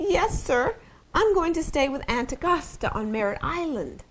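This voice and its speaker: A woman puts on a character voice with a high pitch and very wide pitch swings. Her delivery is shaky and comes at a moderate pace. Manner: dabbing her nose, then answering politely.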